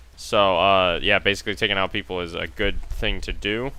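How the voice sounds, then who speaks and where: This man's voice sits at a very deep, low pitch. There is vocal fry in it. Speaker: gamer. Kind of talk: casual gameplay commentary.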